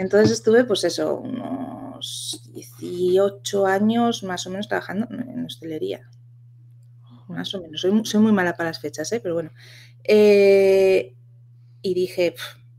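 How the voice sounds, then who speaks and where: A woman's very slow, lively speech with big swings in loudness over light background noise. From Asturias, Spain. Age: 30s. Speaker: virtual assistant and community founder; podcast guest. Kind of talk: interview. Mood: relaxed, chatty. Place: home room.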